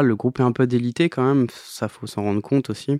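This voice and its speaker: With a quiet background and a dry, close sound with no echo, a man talks with fairly even intonation. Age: 30s. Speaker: band leader, musician. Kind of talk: interview. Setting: home studio. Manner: halting.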